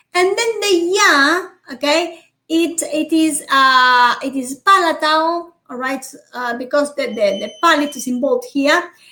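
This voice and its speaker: Raising and projecting her high, bright, sharp voice, a woman with a Spanish accent speaks at a fairly slow pace with lively intonation. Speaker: university phonetics teacher. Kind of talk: online lecture. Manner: frequent fillers and checks like okay.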